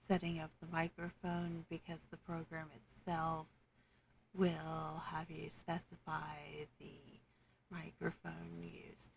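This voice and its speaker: Speaking at a very slow pace, a soft-spoken woman uses a monotone, flat intonation with vocal fry and big swings in loudness. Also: fairly low pitch for a woman. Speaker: tabletop game master. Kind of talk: software tutorial narration.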